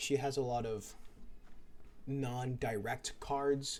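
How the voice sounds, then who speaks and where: A man mumbling his words. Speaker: gaming youtuber. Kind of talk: gameplay commentary. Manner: stuttering.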